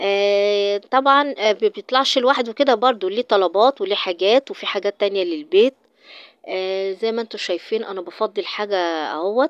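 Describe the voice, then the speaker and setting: A woman with an Egyptian accent, ordinary pitch variation, and a dry, close sound with no echo. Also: medium pitch for a woman, moderate pace. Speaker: vlogger. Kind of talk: casual vlog. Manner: halting.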